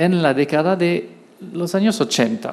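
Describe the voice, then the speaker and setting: A man with a French accent talks at a fairly slow pace and a high pitch. Room echo can be heard. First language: French (speaking Spanish). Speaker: law professor. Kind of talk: lecture. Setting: auditorium. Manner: halting, with hesitations.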